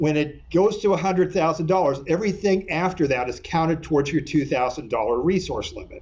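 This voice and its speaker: A man with an American accent speaks in a high-pitched voice. Room echo is audible. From California. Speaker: attorney. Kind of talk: lecture. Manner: fast.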